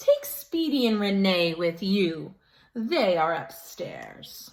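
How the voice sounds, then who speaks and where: A woman's put-on character voice, medium in pitch, at a very slow pace. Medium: read story.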